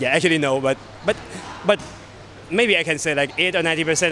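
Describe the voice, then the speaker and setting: A man speaks at a moderate pace with fairly high pitch. There is light background noise. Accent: Thai. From Thailand. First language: Thai. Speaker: MMA fighter. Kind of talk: interview. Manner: halting, frequent repetitions. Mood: relaxed, smiling. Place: hall.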